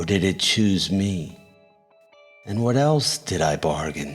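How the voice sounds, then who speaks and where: A man puts on a character voice at a very deep, low pitch, talking at a fairly slow pace over faint music in the background. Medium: read story. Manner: brooding, inward.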